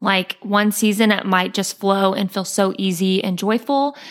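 In a very clean recording with a silent background, a woman speaks at a moderate pace in a plain, everyday voice, medium in pitch with fairly even intonation. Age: 20s. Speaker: boutique owner. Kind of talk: interview.

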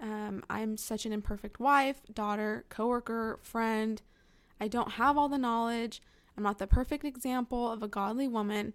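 Speech comes at a moderate pace with an American accent and fairly even intonation. The recording is very clean, with a silent background. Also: woman, fairly high pitch for a woman. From California. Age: 20s. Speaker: podcast host, Bible teacher. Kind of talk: casual faith talk monologue.

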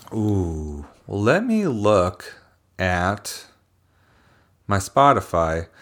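A man with an American accent speaks at a very slow pace, his fairly low pitch showing ordinary variation. He leaves long, frequent pauses in a very clean recording with a silent background. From Philadelphia, US. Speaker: musician, drummer and songwriter. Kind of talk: casual interview chat.

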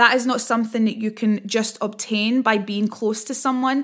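A woman with a Scottish accent and a bright, sharp tone at a moderate pace, in a very clean recording with a silent background. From Scotland. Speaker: empowerment coach and podcast host. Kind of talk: casual solo podcast monologue. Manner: hesitant, many filler words.

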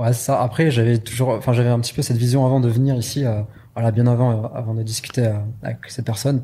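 A man with a medium-pitched voice speaks very fast in a monotone, flat delivery, his tone dark, mellow and somewhat breathy. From southwest France (Pau). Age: 20s. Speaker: e-commerce entrepreneur. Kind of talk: interview.

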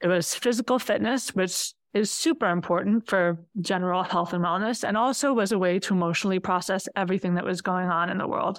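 Talking at a very fast pace, a woman keeps a medium pitch, ordinary pitch variation and very even loudness. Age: 40s. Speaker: quilter. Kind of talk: casual chat.

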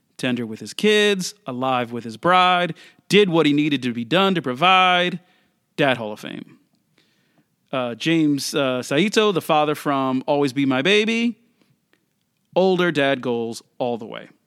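A man's fairly high, lively voice at a fairly slow pace, with big swings in loudness and long, frequent pauses, in a very clean recording with a silent background. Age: 40s. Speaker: podcast host. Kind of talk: casual monologue. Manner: casual, with filler words.

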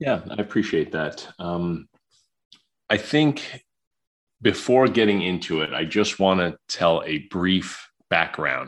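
A man with an American accent speaks at a very slow pace in a very deep, low pitch, leaving long, frequent pauses. His intonation is lively, and the background is quiet. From New York City (Queens). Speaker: psychologist and safety trainer. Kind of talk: interview.

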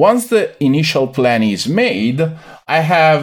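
In an Italian accent, a man with a fairly high pitch speaks at a fairly slow pace, his pitch swinging very widely, on a very clean recording with a silent background. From Italy, Veneto near Venice. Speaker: sports nutritionist. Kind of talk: interview.

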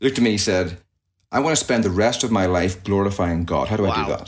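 Talking very fast, a man speaks with a Northern Irish accent. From Northern Ireland, near Belfast. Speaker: pastor. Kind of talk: interview conversation.

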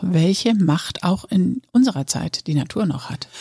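The voice has a dark, mellow tone and is somewhat breathy, moving at a moderate pace. The sound is dry and close, with no echo. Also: woman. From northern Lower Saxony, Germany. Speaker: podcast host. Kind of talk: casual chat.

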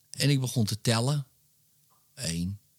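At a very slow pace, a medium-pitched man speaks in a very clean recording with a silent background and a dry, close sound with no echo. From Netherlands, Wormerveer (North Holland). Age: 40s. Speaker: hypnotist and author. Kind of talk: casual interview chat. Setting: his home man cave.

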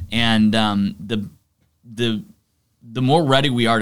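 Over a very clean recording with a silent background, a man with a Texan accent speaks at a fairly slow pace. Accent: Texan American English. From Texas, Arlington (Dallas-Fort Worth area). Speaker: youth pastor. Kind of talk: casual chat.

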